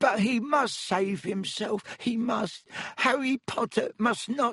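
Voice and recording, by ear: A man uses a put-on character voice at an extremely high pitch, shaky, with a slightly husky edge and a fairly bright tone. He goes at a slow pace with ordinary pitch variation, and the sound is dry and close with no echo.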